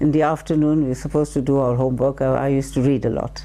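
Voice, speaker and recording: Speaking at a very fast pace, a woman uses a very deep, low pitch and fairly even intonation. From Zanzibar. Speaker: oral history interviewee. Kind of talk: oral history testimony.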